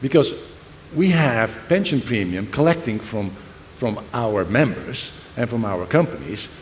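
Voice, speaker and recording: With audible room echo, a man speaks fairly slowly at a medium pitch, his pitch swinging very widely. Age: 60s. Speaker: semiconductor executive. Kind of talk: panel discussion. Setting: stage with audience.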